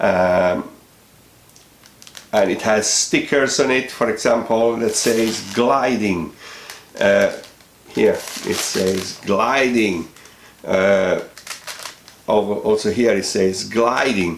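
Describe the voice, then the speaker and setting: A man with a non-native accent speaks very slowly at a medium pitch, with long, frequent pauses, very even loudness and ordinary pitch variation. Audible room echo and noticeable background noise surround him. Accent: foreign accent, self-noted. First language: not English. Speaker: product reviewer, hobby aeromodeller. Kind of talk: product review. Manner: hesitant, many fillers.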